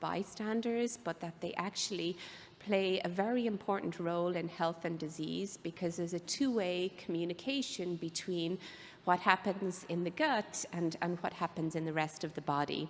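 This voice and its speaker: A woman speaks in an Irish accent. Her pitch is medium. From Ireland. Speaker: biotech executive and physician. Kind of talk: conference presentation.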